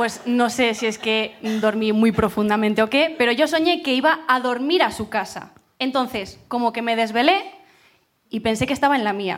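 The woman's fairly high voice, an unremarkable speaking voice, moves at a moderate speed with ordinary pitch variation. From Burgos, Spain. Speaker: audience member telling a story. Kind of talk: storytelling to a live audience.

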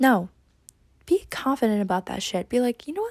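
A woman speaks at a fairly quick pace in a dark, mellow tone that is somewhat breathy. The sound is dry and close, with no echo. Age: 20s. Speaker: podcast host. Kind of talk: casual solo podcast monologue.

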